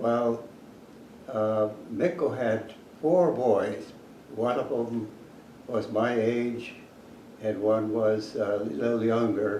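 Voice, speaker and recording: Very slow speech from a man, broken by long, frequent pauses, over noticeable background noise. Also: medium pitch for a man, ordinary pitch variation. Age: 80s+. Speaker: retired academic. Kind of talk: interview answer.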